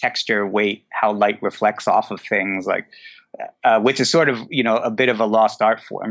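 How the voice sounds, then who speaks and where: A man with an ordinary speaking voice, medium pitch, fairly even intonation and moderate pace, on a very clean recording with a silent background. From New Jersey. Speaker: photographer and director. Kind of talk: casual interview chat.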